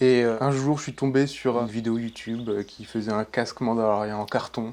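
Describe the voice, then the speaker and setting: A man's medium-pitched voice holds a monotone, flat intonation while moving at a moderate pace. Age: 20s. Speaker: cosplayer and mask maker. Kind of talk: interview. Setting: his workshop. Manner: hesitant, many fillers.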